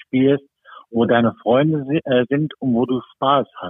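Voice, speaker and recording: Speaking very slowly, this man keeps his intonation fairly even. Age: 60s. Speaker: football referee. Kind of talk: casual interview. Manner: hesitant, many fillers.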